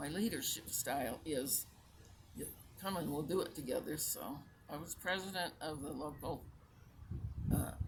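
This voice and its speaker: Speaking at a moderate pace with long, frequent pauses, a woman with a very deep, low pitch and ordinary pitch variation sounds somewhat breathy amid audible room echo. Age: 80s+. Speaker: retired teacher and community volunteer. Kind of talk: interview. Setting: outdoors in a park.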